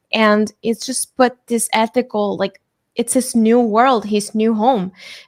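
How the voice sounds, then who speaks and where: Speaking with a non-native accent, a woman with a fairly high pitch talks at a fairly slow pace in a monotone, flat way. The very clean recording has a silent background and a dry, close sound with no echo. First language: not English. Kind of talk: casual chat.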